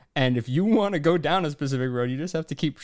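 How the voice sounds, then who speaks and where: A man at a fairly high pitch and a very fast pace, in a dry, close sound with no echo. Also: very clean recording, silent background. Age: 20s. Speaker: comedy advice podcast co-host. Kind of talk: casual chat.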